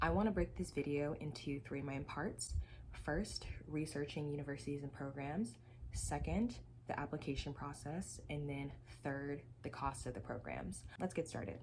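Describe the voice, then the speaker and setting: Speaking with an American accent at a moderate pace, a woman uses a very deep, low voice with vocal fry and lively intonation. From Texas, Dallas. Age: 20s. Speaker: graduate student. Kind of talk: tutorial.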